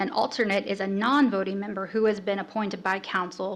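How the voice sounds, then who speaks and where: Amid noticeable background noise, a woman talks at a fairly quick pace with ordinary pitch variation. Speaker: city staff presenter. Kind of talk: orientation presentation.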